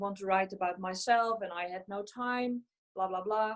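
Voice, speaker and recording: This woman talks with a Dutch accent and fairly even intonation. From Netherlands, central. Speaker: physical medium and mediumship tutor. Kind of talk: panel discussion. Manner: hesitant, many fillers.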